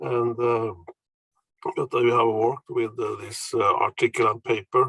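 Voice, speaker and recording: A man speaks with a Norwegian accent at a fairly slow pace. The sound is dry and close, with no echo. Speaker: professor. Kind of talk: presentation. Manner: halting.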